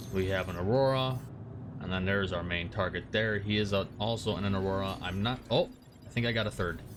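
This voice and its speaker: Audible room echo surrounds a man talking at a fairly quick pace. His intonation stays fairly even. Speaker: gaming youtuber. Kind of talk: gameplay tutorial commentary. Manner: casual with many filler words.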